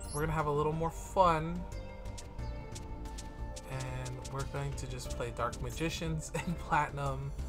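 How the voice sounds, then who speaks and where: The speech moves at a fairly slow pace. Clear music runs in the background. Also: man. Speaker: gaming youtuber. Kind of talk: casual gameplay commentary. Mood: relaxed, laughing a bit.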